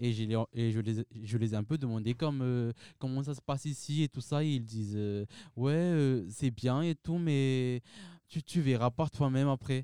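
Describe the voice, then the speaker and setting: On a very clean recording with a silent background, a man's medium-pitched voice has a dark, mellow tone, ordinary pitch variation, and a dry, close sound with no echo. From Madagascar. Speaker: university student. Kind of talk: panel discussion interview.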